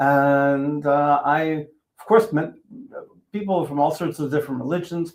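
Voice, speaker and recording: This man's voice sits fairly high. His pace is moderate. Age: 60s. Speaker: teacher and interfaith activist. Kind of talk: interview. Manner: halting, many fillers.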